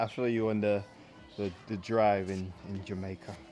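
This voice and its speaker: Music plays in the background as a man speaks at a moderate pace. His pitch is fairly low and his intonation fairly even. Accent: London. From South East London. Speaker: fitness coach. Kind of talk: live workout stream chat. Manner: casual, repetitive.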